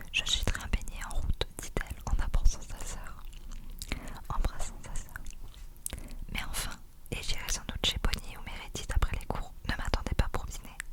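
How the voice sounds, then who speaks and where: A woman whispers with long, frequent pauses. Noticeable background noise is present. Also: moderate pace. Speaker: ASMR creator. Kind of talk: read story. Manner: whispered.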